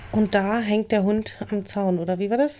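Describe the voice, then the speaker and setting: A woman at medium pitch, with a dark, mellow tone, ordinary pitch variation and a moderate pace. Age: 30s. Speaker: podcast co-host. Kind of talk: casual chat.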